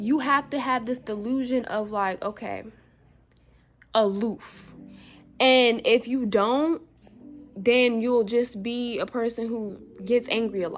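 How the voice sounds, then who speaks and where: With music in the background, a woman speaks very slowly at a fairly high pitch, leaving long, frequent pauses. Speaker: spiritual vlogger. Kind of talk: casual vlog monologue. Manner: animated, colloquial.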